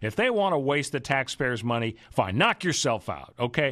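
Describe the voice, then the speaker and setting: With a normal speaking voice, lively intonation and a moderate pace, the speaker talks over a quiet background. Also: man. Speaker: radio host and legal analyst. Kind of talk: radio talk show with political and legal commentary. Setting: radio studio. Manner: conversational, chatty, with frequent fillers and restarts.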